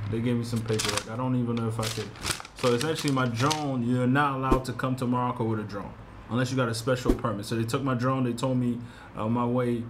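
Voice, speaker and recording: A man talks at a very fast pace in a flat monotone over noticeable background noise. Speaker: travel vlogger. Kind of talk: casual vlog chat. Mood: mildly annoyed about seized drone. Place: home room. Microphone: phone near.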